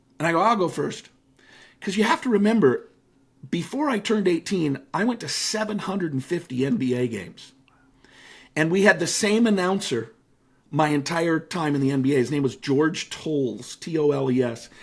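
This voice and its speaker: With a General American accent, a man speaks in a plain, everyday voice at a fairly high pitch. His intonation is lively, his pace moderate, and the recording very clean with a silent background. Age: 50s. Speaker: motivational speaker and author. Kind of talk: casual interview chat.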